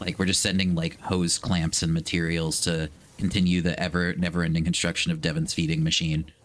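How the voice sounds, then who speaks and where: With an American accent, a man speaks at a fairly quick pace in a very deep, low voice, his loudness very even and hardly any pauses, on a very clean recording with a silent background. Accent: New England accent, comes out when swearing. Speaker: video game streamer. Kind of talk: live game stream chat. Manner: animated, casual.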